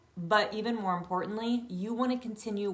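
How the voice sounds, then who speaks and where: Audible room echo surrounds a woman speaking at a moderate pace in an animated tone. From rural countryside. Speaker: yoga teacher. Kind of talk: online training talk. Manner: loud.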